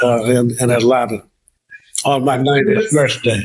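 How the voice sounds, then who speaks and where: A man speaks with a Southern US accent at a moderate pace. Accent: US South. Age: 80s+. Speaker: civil rights leader. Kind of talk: interview.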